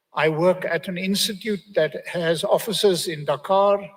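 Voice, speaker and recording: A man with a South African accent has a high pitch and fairly even intonation at a moderate pace. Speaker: think-tank forecasting researcher, panelist. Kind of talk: conference presentation.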